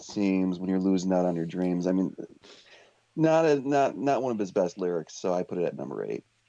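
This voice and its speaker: An American accent marks a man's very deep, low voice, dark and mellow in tone, with lively intonation. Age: 40s. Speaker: music fan, guest panelist. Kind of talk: casual chat.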